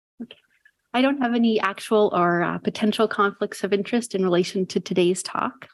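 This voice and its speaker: A soft-spoken woman talks at a fairly quick pace and medium pitch with fairly even intonation. The sound is dry and close, with no echo. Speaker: psychiatry resident. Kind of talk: lecture.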